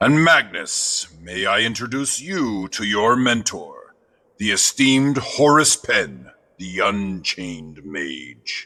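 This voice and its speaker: The pace is fairly slow. The voice is a put-on character. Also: man, medium pitch for a man. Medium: audio drama. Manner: knowing, teasing.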